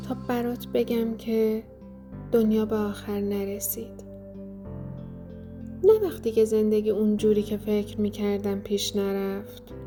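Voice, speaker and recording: Very slowly, a woman speaks in a calm, gentle tone, with long, frequent pauses. Music plays in the background. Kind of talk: reflective healing podcast narration.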